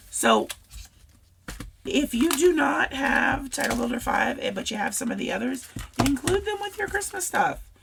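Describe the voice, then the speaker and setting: Very wide pitch swings amid noticeable background noise. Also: woman. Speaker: scrapbooking crafter. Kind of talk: casual craft tutorial talk to camera.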